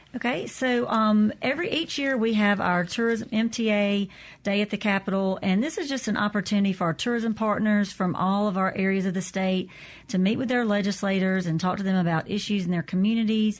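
A woman with a Southern US accent speaks at a fairly quick pace, in a medium pitch with ordinary pitch variation and very even loudness. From Natchez, Mississippi / Vidalia, Louisiana. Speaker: tourism association director. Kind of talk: radio interview.

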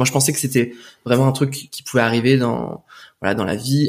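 Against a silent background in a very clean recording, a man talks at a fairly quick pace with a medium pitch and fairly even intonation. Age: 20s. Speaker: video editor and former stage performer. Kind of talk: casual interview. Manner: hesitant, many fillers.

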